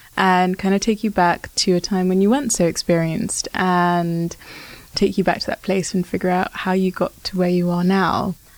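Here a woman is soft-spoken, at a moderate pace. Her intonation stays fairly even. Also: medium pitch for a woman. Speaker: podcast host. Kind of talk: interview.

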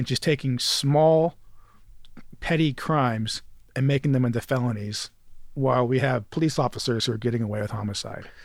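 Speaking with an American accent, a man uses a medium pitch and ordinary pitch variation at a fairly quick pace. The recording is very clean, with a silent background. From western New York (Jamestown, Rochester area). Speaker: criminal defense attorney, political candidate. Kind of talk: casual interview.

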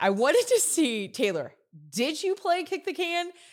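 Very wide pitch swings stand out on a very clean recording with a silent background. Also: woman. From Louisiana. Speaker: podcast host. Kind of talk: casual chat. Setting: studio.

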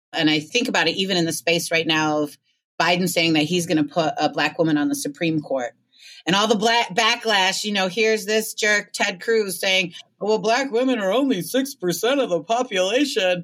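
In an unremarkable speaking voice, a woman with an American accent speaks at a medium pitch and a moderate pace. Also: lively intonation. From Michigan (Ann Arbor). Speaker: community organizer and magazine editor. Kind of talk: casual interview conversation.

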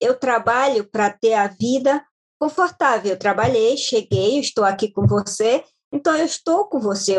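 Her pace fairly slow, a woman speaks at a fairly high pitch with lively intonation. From Brazil, Maranhão (Baixada Maranhense). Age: 40s. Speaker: caregiver and domestic assistant. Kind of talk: podcast interview. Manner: halting.

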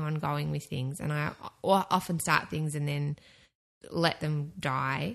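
Against a quiet background, a woman with an Australian accent speaks fairly slowly in a bright, sharp tone. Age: 30s. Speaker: podcast network producer. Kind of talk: casual chat.

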